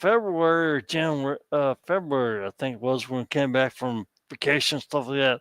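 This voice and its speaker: A man's voice sits at a fairly high pitch with ordinary pitch variation. The sound is dry and close, with no echo. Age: 60s. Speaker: guest on live stream. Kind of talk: casual chat. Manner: halting.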